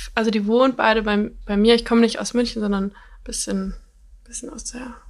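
Fairly high-pitched with ordinary pitch variation, a woman speaks at a moderate pace against noticeable background noise. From Bavaria, Germany (near Munich). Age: 20s. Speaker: dating show contestant. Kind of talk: casual chat.

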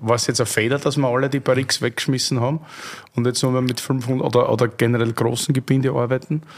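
Speaking with an Austrian accent, a man goes at a very fast pace. His medium-pitched voice is monotone and flat. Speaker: podcast host. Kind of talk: casual chat.

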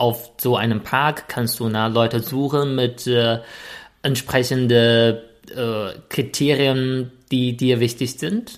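In a very clean recording with a silent background, a man with a medium pitch speaks very slowly. His intonation is monotone and flat, and he has a Chinese accent. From China. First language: Chinese (speaking German). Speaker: podcast co-host. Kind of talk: casual chat.

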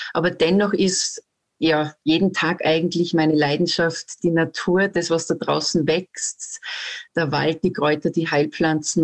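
A woman talks very slowly at a fairly low pitch with fairly even intonation. The sound is dry and close with no echo, against a quiet background. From Austria, Salzburg. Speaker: herbalist and forest educator. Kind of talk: interview.

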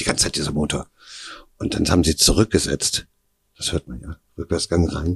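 A man with a very deep, low pitch and vocal fry speaks at a fairly quick pace, leaving long, frequent pauses, in a dry, close sound with no echo. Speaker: kidnapping survivor. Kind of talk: interview testimony. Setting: at his home.

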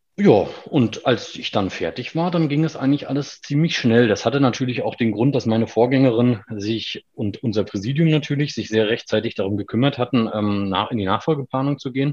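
With a normal speaking voice, a man talks at a medium pitch and a fairly quick pace, using ordinary pitch variation and hardly any pauses. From Mecklenburg-Vorpommern, Germany (Schwerin). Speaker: tax advisers' association director. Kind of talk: interview.

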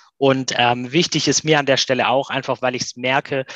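A man's fairly high, bright, sharp voice in a monotone, flat delivery at a fairly quick pace, with a dry, close sound and no echo. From Swabia, near Stuttgart. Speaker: voice app entrepreneur. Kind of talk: interview.

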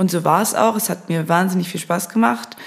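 Vocal fry runs through this woman's medium-pitched voice. She talks at a moderate pace with ordinary pitch variation. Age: 20s. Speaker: social media agency founder and podcast host. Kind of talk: solo monologue. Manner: casual, with filler sounds.

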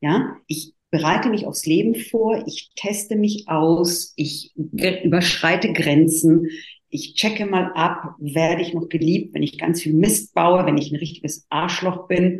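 A woman's voice is somewhat breathy and fairly low in pitch. She talks at a very slow pace with ordinary pitch variation. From Italy. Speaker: therapist and coach. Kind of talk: interview.

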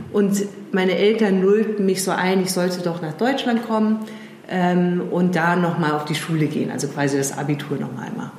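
A woman talks at a moderate pace in a fairly low pitch, with ordinary pitch variation. There is noticeable background noise and audible room echo. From England. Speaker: strategy consultant and founder. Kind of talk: interview conversation. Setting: in person at her office. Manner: hesitant, many fillers.

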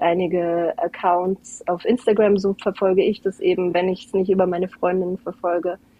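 Slowly and in a flat monotone, a woman speaks at a medium pitch. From Portugal (Algarve), German family. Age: 20s. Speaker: guest, mother and Portuguese teacher. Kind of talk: casual interview chat.

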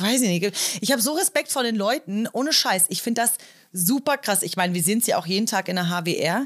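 Over a silent background in a very clean recording, a woman with a plain, everyday voice talks fairly quickly at a medium pitch with lively intonation. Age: 30s. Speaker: police officer trainee. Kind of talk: casual chat.

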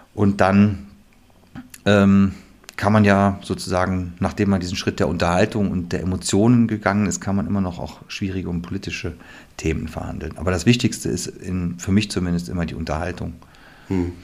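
A man's very deep, low voice moves at a moderate pace, his intonation fairly even. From western Germany. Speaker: theatre director. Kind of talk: casual interview.

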